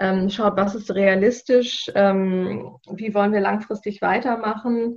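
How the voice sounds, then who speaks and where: The intonation is fairly even. The pace is very slow. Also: woman, medium pitch for a woman. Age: 40s. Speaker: sustainability officer at a business initiative, fashion industry background. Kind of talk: podcast interview. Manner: hesitant, many filler sounds.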